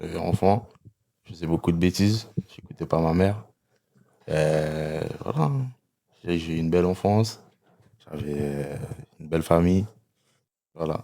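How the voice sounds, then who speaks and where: A man's very deep, low voice at a fairly slow pace, with ordinary pitch variation, long, frequent pauses, and big swings in loudness. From French Guiana, interior villages (Amerindian). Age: 20s. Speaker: logistics worker. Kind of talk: interview. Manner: hesitant, many fillers and repetitions.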